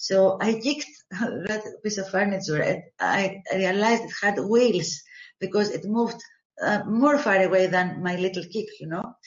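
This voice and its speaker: A woman with a medium pitch and a somewhat breathy voice talks at a moderate pace with ordinary pitch variation. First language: not English. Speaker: therapist, call participant. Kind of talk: asking question, partly read from notes.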